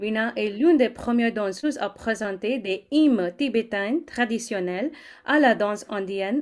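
On a very clean recording with a silent background, a woman uses a normal speaking voice. She has a fairly high pitch, lively intonation and a moderate pace. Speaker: co-host.

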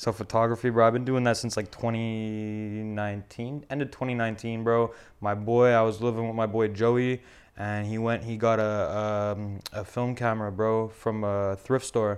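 Medium-pitched male voice at a moderate pace against a quiet background. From Montreal, Canada (Verdun). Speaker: film photographer and clothing brand owner. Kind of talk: casual chat. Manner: animated.

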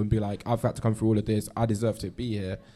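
With a London accent, a man speaks at medium pitch in a dark, mellow tone. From London, Ghanaian family. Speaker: listening party participant. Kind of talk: group discussion. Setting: live event with sound system.

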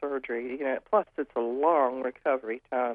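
A woman is speaking. Her pace is fairly slow. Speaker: caller. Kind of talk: call-in question. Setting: phone call.

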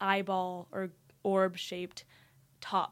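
A speaker with an American accent. The recording is very clean, with a silent background. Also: woman. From Texas, Dallas. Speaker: university student. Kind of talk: casual interview.

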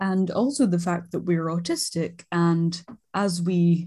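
Her voice is dark and mellow, somewhat breathy and fairly low for a woman, with fairly even intonation. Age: 20s. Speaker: podcast co-host, art student. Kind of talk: casual chat.

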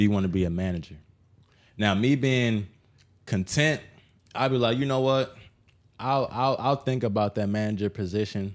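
A man's animated, moderate-paced speech with ordinary pitch variation, very even loudness and long, frequent pauses, in a very clean recording with a silent background. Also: fairly low pitch for a man. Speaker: podcast host. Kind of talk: casual chat. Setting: guest's home.

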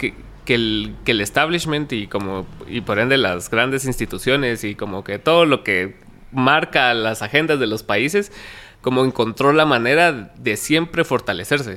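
The intonation is lively. The tone comes across bright and sharp. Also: man, medium pitch for a man, fairly slow pace. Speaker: podcast host. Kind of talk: casual interview.

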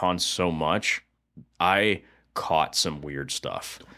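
A man's bright, sharp voice with ordinary pitch variation, recorded very cleanly over a silent background. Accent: American. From Florida, East Lake. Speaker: podcast co-host. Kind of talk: casual chat.

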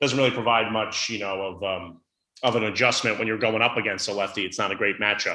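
A man's very fast speech, fairly low in pitch with a bright, sharp tone. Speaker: TV sports director. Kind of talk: casual sports podcast interview.

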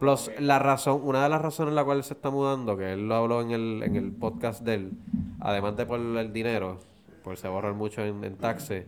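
A man talks in an ordinary speaking voice, pitched in the middle range, with ordinary pitch variation and a moderate pace. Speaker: podcast co-host. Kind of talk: casual chat.

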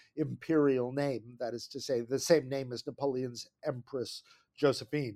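A man with an American accent talks at a moderate pace in a plain, everyday voice, fairly high in pitch with fairly even intonation. The sound is dry and close, with no echo. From New Jersey. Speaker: history professor. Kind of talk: interview.

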